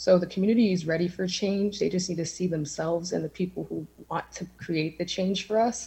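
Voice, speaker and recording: The voice has a dark, mellow tone with vocal fry and an American accent. It moves at a fairly quick pace with fairly even intonation and hardly any pauses. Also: woman, fairly low pitch for a woman. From Erie, Pennsylvania, Lower East Side. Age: 20s. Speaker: community organizer and city council candidate. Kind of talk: candidate forum answers.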